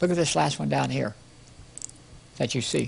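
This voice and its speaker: Fairly quick speech with vocal fry swoops through very wide pitch swings. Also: man. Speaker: preacher. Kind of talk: sermon. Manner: fast; animated.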